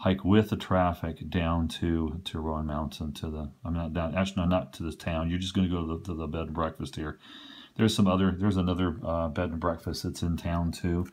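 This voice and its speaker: A man talks at a fairly quick pace in a very deep, low voice with flat, monotone intonation. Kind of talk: tutorial. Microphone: phone near.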